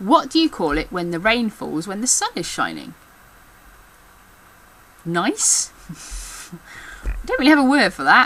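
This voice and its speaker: A woman with an English Midlands accent speaks fairly slowly in a fairly high voice, with very wide pitch swings, long, frequent pauses and noticeable background noise. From England. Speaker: backstage theatre worker. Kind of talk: casual talk to camera.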